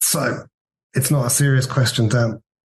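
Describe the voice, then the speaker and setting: Here a man speaks with a southern English accent. His pace is moderate. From Worthing, southern England. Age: 50s. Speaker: former band manager, music fan. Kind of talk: interview.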